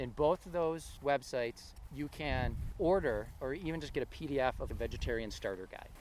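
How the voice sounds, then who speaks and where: The voice has lively intonation and vocal fry. It moves at a moderate pace. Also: man, fairly high pitch for a man. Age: 40s. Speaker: podcast host. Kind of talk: casual chat. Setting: outdoors.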